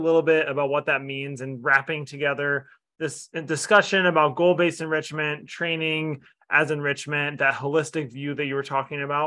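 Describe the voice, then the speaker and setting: A man with an unremarkable speaking voice and a fairly high pitch talks at a fairly quick pace with fairly even intonation. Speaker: podcast host. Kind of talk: scripted intro and casual interview.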